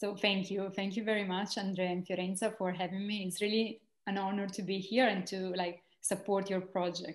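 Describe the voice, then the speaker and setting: Over a quiet background, a woman in an Italian accent talks at a fairly quick pace with monotone, flat intonation. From Italy. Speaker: social entrepreneur and university lecturer. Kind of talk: interview conversation. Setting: video call. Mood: warm, reflective. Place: home room. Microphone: video call.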